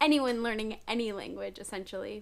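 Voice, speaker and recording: A woman's plain, everyday voice with a General American accent, fairly high in pitch with ordinary variation. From California, USA. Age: 30s. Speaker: language learner and YouTuber. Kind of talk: casual talk to camera.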